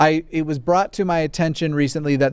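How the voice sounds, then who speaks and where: A man speaks with an American accent. The recording is very clean with a silent background and a dry, close sound with no echo. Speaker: livestream podcast host. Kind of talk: casual chat. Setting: live video stream. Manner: rambling, self-interrupting, jokey.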